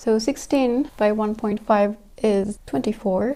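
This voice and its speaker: A woman with a French accent speaks with a medium pitch and a dark, mellow tone, her pitch varying in an ordinary way. The recording is very clean, with a silent background. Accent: French accent, may say words weirdly. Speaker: sewing YouTuber. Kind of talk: tutorial. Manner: thinking aloud.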